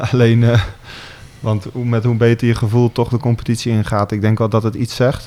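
A medium-pitched male voice with monotone, flat intonation. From Gelderland, Netherlands (Otterlo). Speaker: football team captain. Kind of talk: radio interview. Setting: club boardroom.

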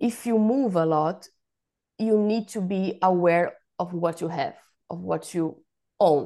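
A woman with a Portuguese accent, a dark, mellow tone, ordinary pitch variation, and long, frequent pauses. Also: fairly low pitch for a woman. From Brazil. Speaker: professional organiser. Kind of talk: casual interview. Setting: remote call. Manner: halting, repeats words.

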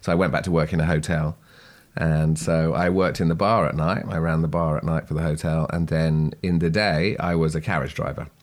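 A man with a British accent speaks at a fairly quick pace, his pitch very deep and low. His intonation is fairly even, his loudness very even, and the recording very clean with a silent background. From Channel Islands (Sark). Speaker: horseman. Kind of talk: interview. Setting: at a kitchen table.

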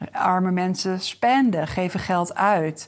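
A woman speaks in a fairly low pitch for a woman. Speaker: business coach. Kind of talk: solo podcast monologue. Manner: casual, with frequent fillers.

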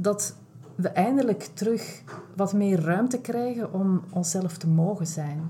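A woman speaks very slowly with a Flemish accent, at a medium pitch with ordinary pitch variation. Her tone is dark and mellow, and somewhat breathy. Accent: Flemish Dutch. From Belgium (Flanders). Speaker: self-care and burnout coach, podcast host. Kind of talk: casual interview chat. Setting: large room, in person.

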